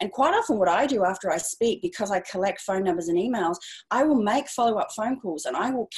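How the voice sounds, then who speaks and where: A woman talks at a fairly quick pace with an Australian accent, an enthusiastic tone and very wide pitch swings. Her voice is somewhat breathy, and the background is quiet. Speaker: speaking and publicity coach. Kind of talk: interview. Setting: video call. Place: home room. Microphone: earbuds.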